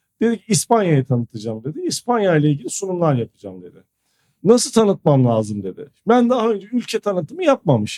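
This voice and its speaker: A man with a high pitch and a dark, mellow tone speaks at a fairly quick pace, the sound dry and close with no echo. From Turkey (Ankara, Istanbul, Izmir, Kayseri). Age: 40s. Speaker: school founder and educator. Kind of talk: interview conversation. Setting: studio.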